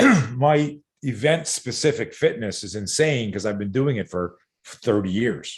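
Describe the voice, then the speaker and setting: A man speaks with a Canadian accent at a medium pitch. His intonation is lively and his voice somewhat breathy. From Canada, Montreal. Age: 60s. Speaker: self-defense coach. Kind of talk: casual chat. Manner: animated.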